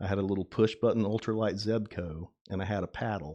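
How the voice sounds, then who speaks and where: A man talks at a moderate pace in an American accent, his pitch fairly low and his tone dark and mellow. His pitch varies in an ordinary way, and the background is quiet. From US South, South Carolina. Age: 50s. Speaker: fisherman. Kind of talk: casual chat.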